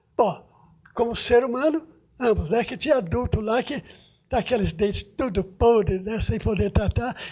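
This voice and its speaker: High male voice at a moderate pace with ordinary pitch variation. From Brazil, Goiás (Anápolis, from age one). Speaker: retired dentist being honoured. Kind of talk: TV interview. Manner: halting, with repeated syllables.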